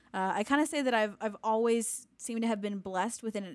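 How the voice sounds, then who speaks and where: A woman with an American accent speaks in an ordinary speaking voice. Her pitch is fairly high, with ordinary variation. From Sacramento, California. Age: 20s. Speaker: podcast co-host, student and worship leader. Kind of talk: casual chat.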